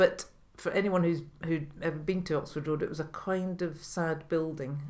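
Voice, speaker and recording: A woman with a Scottish accent, a very deep, low pitch, monotone, flat intonation and a moderate pace. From Scotland. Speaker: retired orchestra manager and violinist. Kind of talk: interview answer.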